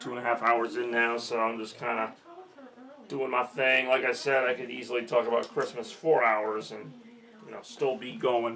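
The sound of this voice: Using a put-on character voice, a raspy man speaks at a medium pitch and moderate pace, with fairly even intonation and big swings in loudness.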